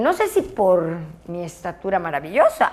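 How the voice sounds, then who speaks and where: An animated woman's voice. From Yucatán, Mexico. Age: 60s. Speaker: former aerobics champion and fitness instructor. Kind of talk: interview.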